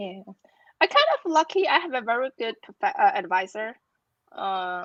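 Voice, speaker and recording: A woman with a Chinese accent speaks with lively intonation in a dry, close sound with no echo. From China. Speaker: academic with a doctorate. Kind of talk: interview. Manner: halting, repeats words.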